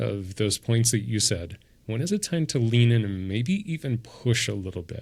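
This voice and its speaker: A man with a fairly low, somewhat breathy voice is heard on a very clean recording with a silent background. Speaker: podcast host and coach. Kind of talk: casual chat. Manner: slow, leaves long pauses.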